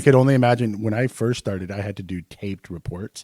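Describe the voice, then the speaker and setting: Mumbling at a very fast pace, a man with a dark, mellow tone and fairly low pitch shows ordinary pitch variation and big swings in loudness, in a dry, close sound with no echo. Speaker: podcast co-host, nurse. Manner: mumbles.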